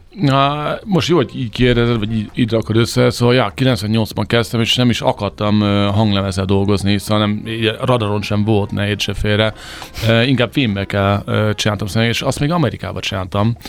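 A man speaks fairly quickly at a fairly low pitch with ordinary pitch variation. Noticeable background noise is present. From USA. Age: 40s. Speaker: eyewear company founder. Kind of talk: interview. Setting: studio. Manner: halting.

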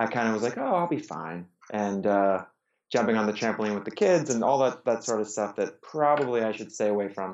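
A plain, everyday voice with an American accent, fairly quick in pace, with ordinary pitch variation. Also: man, medium pitch for a man. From US, Pittsburgh. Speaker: amateur endurance athlete. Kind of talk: casual interview conversation.

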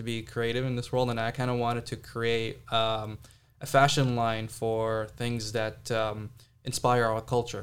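Speaking at a fairly slow pace, a man with an American accent keeps a medium pitch and a monotone, flat intonation. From Saudi Arabia. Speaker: entrepreneur. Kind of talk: casual interview chat. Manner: casual, hesitant with fillers.

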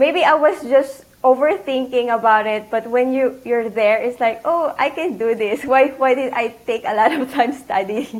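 A woman with a Filipino accent speaks in a high voice at a moderate pace with ordinary pitch variation. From Philippines. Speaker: CPA exam candidate, accountant. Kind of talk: casual interview.

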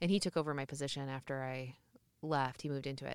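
Here a woman talks at a very fast pace with an American accent. The sound is dry and close, with no echo. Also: very clean recording, silent background. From Iowa. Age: 30s. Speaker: theater executive director. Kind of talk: casual interview.

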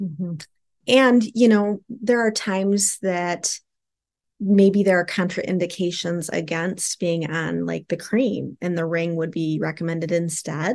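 A woman with a fairly low pitch speaks at a fairly slow pace in a normal speaking voice. Her pitch variation is ordinary, and the background is quiet. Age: 50s. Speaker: sex therapist, social worker. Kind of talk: casual interview chat.

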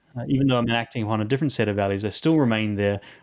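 A man with a New Zealand accent at a very fast pace, medium pitch, on a very clean recording with a silent background. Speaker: clinical psychologist. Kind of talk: interview conversation. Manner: halting, many fillers and repetitions.

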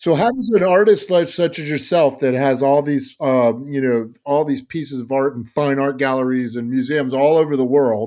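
A man talks at a moderate pace with hardly any pauses, in an unremarkable speaking voice. His pitch is fairly high, with ordinary pitch variation. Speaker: podcast host. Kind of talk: interview conversation.

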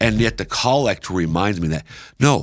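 With vocal fry and very wide pitch swings, a man talks at a fairly quick pace and fairly low pitch, recorded with a dry, close sound with no echo on a very clean recording with a silent background. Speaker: bible teacher. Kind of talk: scripture teaching segment. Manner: fast.

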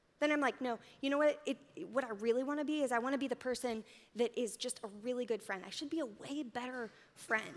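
A high-pitched woman talks in an animated tone at a very fast pace. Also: ordinary pitch variation. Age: 30s. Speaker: church speaker. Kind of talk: sermon.

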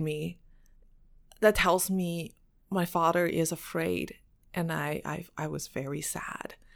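Speaking with a Mandarin accent, a woman is heard on a very clean recording with a silent background. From China. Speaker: activist and former beauty queen. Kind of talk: interview.

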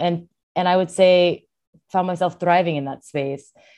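Speaking at a moderate pace with a Californian accent, a woman has a dark, mellow tone and ordinary pitch variation. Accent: Californian American. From California (born in Seoul, South Korea, moved at four). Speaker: filmmaker, rock climber and outdoor advocate. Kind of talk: interview conversation.

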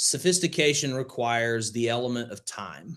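With an Alabama accent, a man talks at a medium pitch with ordinary pitch variation. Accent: Southern US (Alabama). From US South, northwest rural Alabama. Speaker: crypto investor and educator. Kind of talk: interview.

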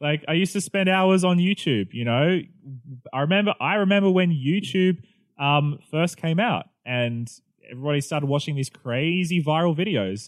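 A man with an Australian accent speaks at a moderate pace in a fairly high pitch, his intonation lively. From Australia, New South Wales. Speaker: pastor. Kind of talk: casual chat.

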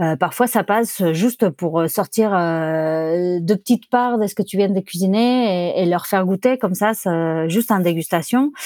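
A woman's medium-pitched voice, dark and mellow in tone, in a dry, close sound with no echo. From Barcelona, Spain (born Buenos Aires). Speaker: sommelier and wine bar owner. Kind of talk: interview. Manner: halting.

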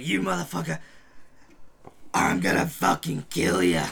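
Putting on a character voice, a man speaks in a very deep, low, raspy pitch at a moderate pace. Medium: actual play. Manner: furious, cursing, desperate.

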